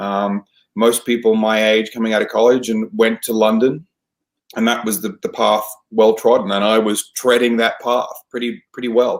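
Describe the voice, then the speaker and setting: With an Australian accent, a man talks at a moderate pace and a medium pitch. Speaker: theater professional, naturalized citizen. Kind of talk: interview. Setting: podcast. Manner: hesitant, many fillers.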